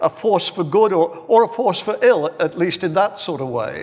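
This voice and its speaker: A man's high-pitched voice with an English accent, ordinary pitch variation and a moderate pace, over noticeable background noise. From England (Birmingham). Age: 70s. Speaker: professor of philosophy. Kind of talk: panel debate. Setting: stage with live audience. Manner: halting, repeats words.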